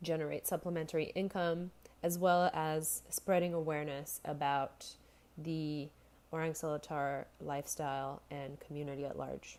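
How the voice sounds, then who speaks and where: A woman speaks at a very deep, low pitch in a dark, mellow tone. Her delivery is fairly slow, with monotone, flat intonation. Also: very clean recording, silent background. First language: not English. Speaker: university student. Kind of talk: class presentation. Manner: hesitant, many fillers.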